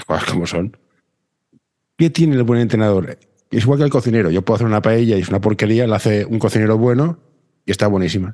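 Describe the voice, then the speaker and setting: In a Catalan accent, this dark, mellow voice moves at a very fast pace with ordinary pitch variation, broken by long, frequent pauses. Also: man, fairly low pitch for a man. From Barcelona. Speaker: podcast host. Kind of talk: casual chat.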